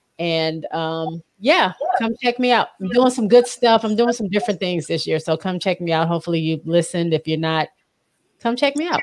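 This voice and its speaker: A woman's ordinary speaking voice, medium in pitch, with lively intonation at a moderate pace. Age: under 65. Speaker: podcaster. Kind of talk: casual chat. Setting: live-streamed video call.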